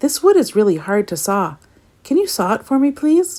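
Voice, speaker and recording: A woman uses a put-on character voice with a high pitch and very wide pitch swings. She talks at a moderate pace on a very clean recording with a silent background. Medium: read story.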